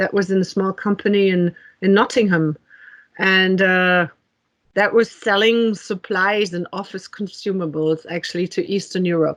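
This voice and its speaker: With a German accent, a woman speaks at a medium pitch and a moderate pace. Her intonation is fairly even, and the background is quiet. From Germany. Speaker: technology executive. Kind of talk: interview. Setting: podcast. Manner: many fillers and hesitations.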